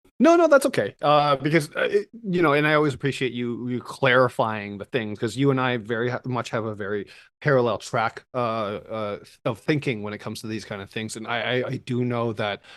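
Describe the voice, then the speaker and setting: A man speaks at a fairly quick pace in a medium pitch. The background is quiet. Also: ordinary pitch variation. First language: not English. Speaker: podcast co-host. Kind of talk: casual chat. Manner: halting, many fillers and repeats.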